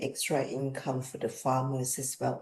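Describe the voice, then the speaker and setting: A woman speaks with a Thai accent. Her tone is dark and mellow against a quiet background. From Thailand. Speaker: business executive. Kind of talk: interview.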